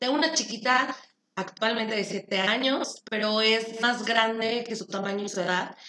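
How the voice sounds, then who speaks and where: The woman's voice is a plain, everyday voice, fairly high in pitch. She keeps a moderate pace and fairly even intonation. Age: 30s. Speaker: podcast co-host, insurance saleswoman. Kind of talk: casual chat.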